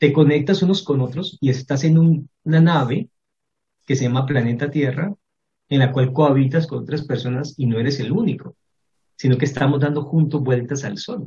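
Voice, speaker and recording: This voice is somewhat breathy, moving at a moderate pace with ordinary pitch variation. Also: man, fairly high pitch for a man. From Colombia, Cali. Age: 40s. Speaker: professor. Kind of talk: interview.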